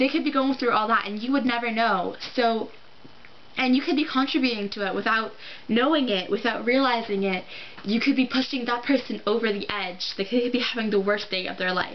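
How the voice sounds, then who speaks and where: Her pitch is fairly high with ordinary variation. The woman speaks over noticeable background noise. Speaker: vlogger. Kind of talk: casual vlog monologue. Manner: halting.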